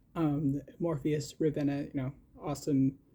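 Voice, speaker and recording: Somewhat breathy, a man speaks at a very slow pace. His tone is dark and mellow, his pitch fairly high. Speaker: podcast host. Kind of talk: casual solo podcast chat. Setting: at home in shared house. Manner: halting, many repetitions and fillers.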